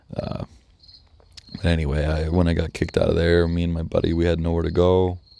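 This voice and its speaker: A man's very deep, low voice with an American accent, very fast yet flat and monotone, with long, frequent pauses and noticeable background noise. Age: 20s. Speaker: podcast host. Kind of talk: personal monologue.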